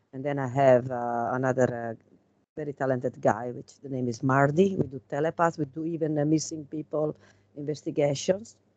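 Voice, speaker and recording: A woman with a strong Italian accent speaks in a very deep, low voice and fairly even intonation. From Italy. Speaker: tarot reader and regression hypnotist. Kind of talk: casual chat. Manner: halting.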